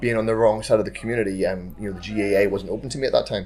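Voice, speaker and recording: A very fast man with a Northern Irish accent and a fairly low pitch. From Northern Ireland. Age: 30s. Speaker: amateur rugby player. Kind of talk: casual chat.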